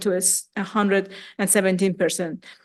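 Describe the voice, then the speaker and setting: A woman against a quiet background. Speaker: conference speaker, national lab researcher. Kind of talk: conference talk. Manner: fast.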